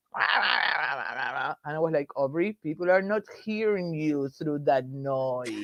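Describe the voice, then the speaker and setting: A woman with an Argentine accent speaks at a very slow pace with hardly any pauses. Her pitch is very deep and low, and the sound is dry and close with no echo. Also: ordinary pitch variation. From Argentina. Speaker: political activist. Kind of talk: casual chat.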